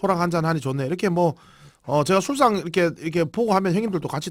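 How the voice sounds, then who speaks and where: Over a very clean recording with a silent background, a man speaks in a high pitch with a Gyeongsang accent. His intonation is lively. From South Korea, Busan. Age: 40s. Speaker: internet broadcaster. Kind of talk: casual drinking livestream. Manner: rambling, informal.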